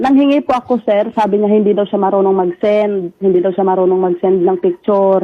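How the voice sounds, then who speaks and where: A woman speaks in a plain, everyday voice. Her pace is fairly quick. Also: medium pitch for a woman, fairly even intonation, very even loudness. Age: 20s. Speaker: factory worker. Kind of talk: mediation call. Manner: heated.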